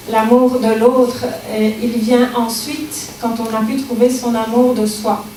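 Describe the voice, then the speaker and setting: Noticeable background noise and audible room echo surround a woman's fairly high voice. She speaks in a monotone, flat intonation. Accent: slight Belgian. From Belgium. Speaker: speaker on personal growth. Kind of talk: public talk. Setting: library lecture with audience. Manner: hesitant, many fillers.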